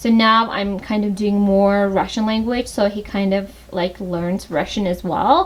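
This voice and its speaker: A woman speaks at a fairly slow pace with fairly even intonation. Noticeable background noise can be heard. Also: medium pitch for a woman. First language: Tajik. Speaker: lifestyle vlogger, mother. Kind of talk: home tour vlog. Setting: at home. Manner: casual, hesitant with fillers.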